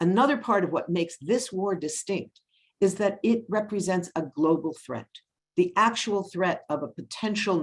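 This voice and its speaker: With lively intonation, a woman speaks in an ordinary speaking voice. Her pitch is medium and her pace moderate. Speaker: policy analyst. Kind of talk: webinar presentation.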